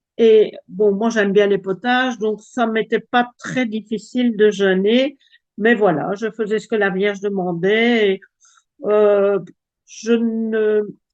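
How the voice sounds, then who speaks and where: A woman with a Belgian accent speaks very slowly at a fairly high pitch, her intonation monotone and flat. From Belgium. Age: 70s. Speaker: testimony giver. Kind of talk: testimony. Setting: video call. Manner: halting.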